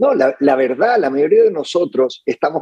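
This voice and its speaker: There is no echo around this man's voice, which sounds dry and close. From Chile. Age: 50s. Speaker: lawyer and entrepreneur. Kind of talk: interview conversation. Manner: halting, many fillers.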